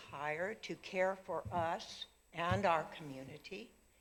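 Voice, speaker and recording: A woman speaks in an American accent at a fairly low pitch. Her pitch swings very widely. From Montana (Whitefish). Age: 80s+. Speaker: local resident giving public comment. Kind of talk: public comment at council meeting. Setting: city council meeting with audience.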